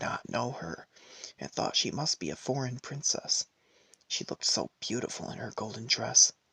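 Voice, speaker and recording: A soft-spoken man talks at a moderate pace in a medium pitch, with lively intonation and vocal fry. His tone is bright and sharp, and the sound is dry and close with no echo. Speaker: ASMR storyteller. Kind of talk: fairy tale reading.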